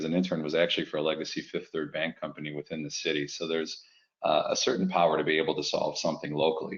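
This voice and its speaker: A man talks at a very fast pace with a Chicago accent. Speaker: fintech executive. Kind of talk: webinar presentation.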